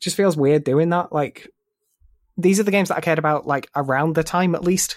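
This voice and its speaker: Speaking at a fairly quick pace, a man with a normal speaking voice keeps a fairly high pitch and fairly even intonation. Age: 20s. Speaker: gaming podcast host. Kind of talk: casual chat.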